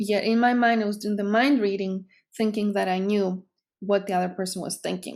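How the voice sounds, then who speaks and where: In a Greek accent, a woman speaks at a medium pitch with fairly even intonation on a very clean recording with a silent background. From Greece. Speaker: psychotherapist. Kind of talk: educational talk to camera.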